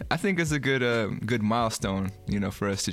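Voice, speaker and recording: With music behind him, a man talks at a fairly quick pace. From San Francisco, California. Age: 30s. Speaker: podcast host. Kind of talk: casual chat.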